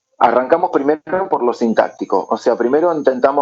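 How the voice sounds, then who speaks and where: Here a man is speaking. His pace is moderate. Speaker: English teacher. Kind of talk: lecture.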